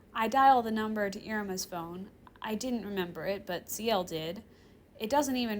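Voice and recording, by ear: A passage read aloud in a natural voice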